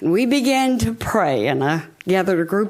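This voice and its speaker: A woman in a Southern US accent, her pitch swinging very widely. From Hot Springs, Arkansas. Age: 80s+. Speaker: founder of a women's prayer group. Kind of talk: public address to city board. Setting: city board meeting chamber.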